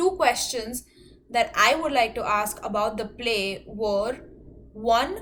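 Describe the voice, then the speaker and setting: A woman with a non-native accent speaks at a very slow pace. Her pitch is fairly high. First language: not English. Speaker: student. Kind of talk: class presentation. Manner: hesitant, many fillers.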